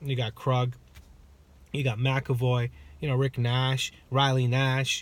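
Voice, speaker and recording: A man speaks at a very slow pace. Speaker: hockey vlogger. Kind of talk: rant. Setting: in a car. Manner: loud.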